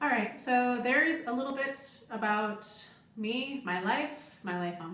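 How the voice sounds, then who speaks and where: With an American accent, a woman speaks fairly slowly in a high pitch and lively intonation, amid audible room echo and noticeable background noise. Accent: American, noticed by others. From United States. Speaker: cruise ship crew member and vlogger. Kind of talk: casual Q&A vlog. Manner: conversational with fillers.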